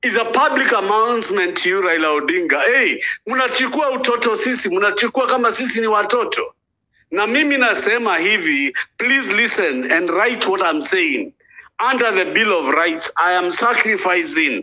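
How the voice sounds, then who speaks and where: Speaking with a Kenyan accent, a man uses a raised, projected voice with a high pitch and a bright, sharp tone. His loudness stays very even at a moderate pace. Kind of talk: rally speech, fiery political oration. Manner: loud, impassioned, urgent; repetitive, declamatory, switches between English and Swahili.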